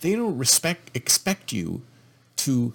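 This man's fairly high voice carries lively intonation. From Canada. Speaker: podcast host. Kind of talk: opinion monologue. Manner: repetitive, emphatic.

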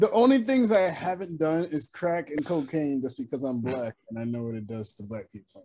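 A man's fairly high, dark and mellow voice at a moderate pace, with very wide pitch swings, big swings in loudness and hardly any pauses. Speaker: podcast co-host. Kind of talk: casual chat.

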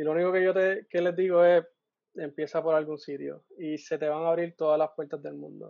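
A fairly quick pace with monotone, flat intonation. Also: man, fairly high pitch for a man, big swings in loudness. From Puerto Rico. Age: 20s. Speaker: engineer and volunteer. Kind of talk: casual chat.

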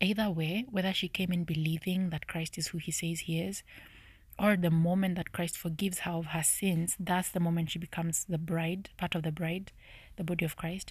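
A woman whispers softly at a moderate pace.

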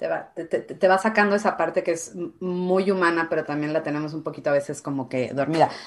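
A normal speaking voice at a fairly quick pace. The background is quiet. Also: woman, fairly low pitch for a woman, ordinary pitch variation. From Mexico, Guadalajara. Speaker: Mexican immigrant in Canada. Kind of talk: casual chat.

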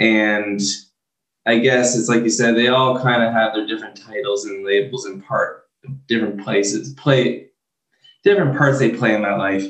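A man with a normal speaking voice talks at a medium pitch. He keeps a moderate pace and fairly even intonation. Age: 30s. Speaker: mental health speaker. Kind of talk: interview.

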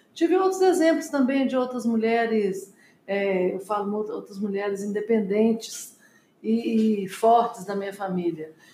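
A woman's fairly high, somewhat breathy voice, dark and mellow in tone, with very wide pitch swings at a fairly slow pace. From Brazil, Minas Gerais (Belo Horizonte). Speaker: businesswoman, company co-founder. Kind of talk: interview.

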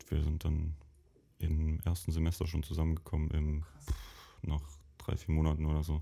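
Somewhat breathy and very deep, a man's dark, mellow voice moves at a moderate pace in a flat monotone, broken by long, frequent pauses. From Bavarian Lake Constance area, near Lindau. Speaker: university alumnus, designer. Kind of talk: casual interview chat. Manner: hesitant, many fillers.

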